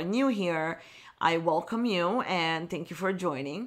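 On a very clean recording with a silent background, a woman with a fairly low pitch and ordinary pitch variation speaks at a moderate pace. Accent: Italian. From Italy, Milan. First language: Italian. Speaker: wedding photographer, podcast host. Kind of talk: motivational solo podcast talk.

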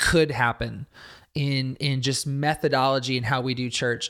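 A man talks at a moderate pace in an ordinary speaking voice, fairly high in pitch, on a very clean recording with a silent background. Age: 40s. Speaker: pastor and ministry leader. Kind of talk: interview conversation.

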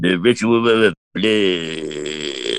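A man doing a put-on character voice. His pitch sits very deep and low. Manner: creepy, over-dramatic.

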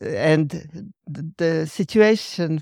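A woman with a Hungarian accent, very deep and low in pitch with ordinary variation, dark and mellow in tone, in a dry, close sound with no echo and a very clean recording over a silent background. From Hungary. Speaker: counselling trainer and practitioner. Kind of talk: panel discussion.

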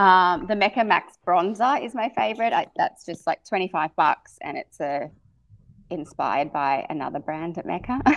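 A woman with an Australian accent talks at a moderate pace and a medium pitch with very wide pitch swings, the sound dry and close with no echo. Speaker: beauty and fashion expert, podcast host. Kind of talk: casual interview chat.

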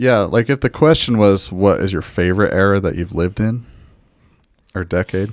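Over a very clean recording with a silent background, a man talks at a moderate pace in a plain, everyday voice, his fairly low pitch showing ordinary variation. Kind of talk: casual chat.

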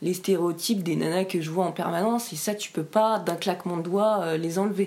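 Noticeable background noise sits behind a woman's medium-pitched voice. She talks at a fairly quick pace with fairly even intonation. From French Alps (Briançon, Hautes-Alpes). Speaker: interviewee sharing life story. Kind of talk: personal interview, testimony. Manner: halting, many hesitations.

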